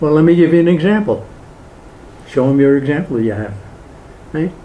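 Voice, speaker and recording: The speech moves at a fairly quick pace with lively intonation, and the room echo is audible. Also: man. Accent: American. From Brooklyn, New York. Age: 80s+. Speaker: political activist speaker. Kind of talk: public talk with Q&A. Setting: hall with live audience.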